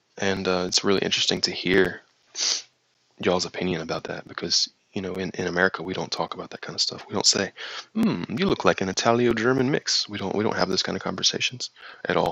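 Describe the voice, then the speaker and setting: The speaker has a slight Southern US accent and a bright, sharp tone. The pace is very fast and the intonation fairly even. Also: man, very deep, low pitch for a man, dry, close sound with no echo. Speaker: crypto live streamer. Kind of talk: live stream chat. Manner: casual, halting with fillers.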